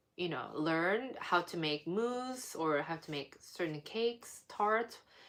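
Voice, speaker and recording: A woman speaking at a very slow pace, with a non-native accent and lively intonation. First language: not English. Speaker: baking YouTuber. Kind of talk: casual live stream chat. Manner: hesitant, many fillers; mumbling.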